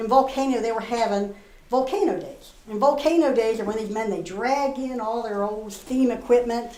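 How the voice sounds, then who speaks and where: A woman with a West Virginia accent, fairly high pitch, ordinary pitch variation and a moderate pace, against noticeable background noise. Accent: West Virginia, Appalachian. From Northern Virginia, USA. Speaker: storyteller. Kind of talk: live storytelling performance. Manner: folksy, conversational.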